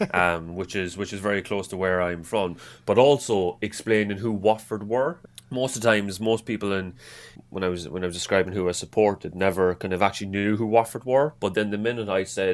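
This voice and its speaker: Someone speaks at a fairly quick pace in an Irish accent. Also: man, fairly low pitch for a man, ordinary pitch variation. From Ireland, Cork. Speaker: football fan. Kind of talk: podcast interview. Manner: halting, many repeated words.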